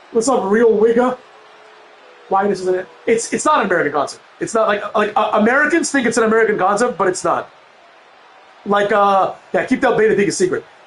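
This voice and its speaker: Over noticeable background noise, a man with a high pitch talks at a fairly quick pace with ordinary pitch variation and long, frequent pauses. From Europe. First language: a European language, learned English as a child. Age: 30s. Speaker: gaming streamer. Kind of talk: casual chat. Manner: casual, many fillers.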